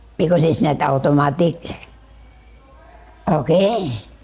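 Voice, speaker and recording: Speaking at a fairly slow pace, a woman has a very deep, low pitch. Her pitch variation is ordinary. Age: 80s+. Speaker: retired religious sister. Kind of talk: interview.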